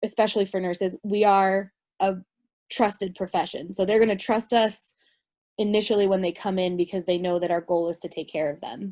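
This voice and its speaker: Against a quiet background, a woman speaks at a fairly quick pace in a medium pitch, her tone dark and mellow and her intonation fairly even. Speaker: registered nurse presenter. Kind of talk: lecture. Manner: fast.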